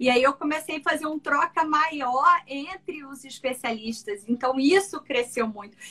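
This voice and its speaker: Raised and projected, a woman's high-pitched voice has a bright, sharp tone, ordinary pitch variation and a fairly slow pace. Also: big swings in loudness. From Brazil, Mato Grosso (Cuiabá). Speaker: ENT doctor. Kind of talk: interview conversation.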